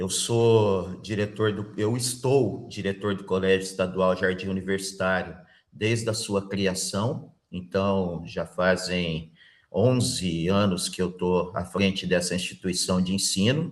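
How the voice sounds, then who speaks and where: A man's very deep, low voice at a very slow pace, with ordinary pitch variation, over a quiet background. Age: 50s. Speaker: school principal, job interview candidate. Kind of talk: job interview.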